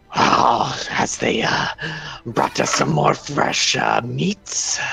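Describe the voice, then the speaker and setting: Whispering and hissing in a put-on character voice, a man speaks at a very slow pace. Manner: eerie, menacing.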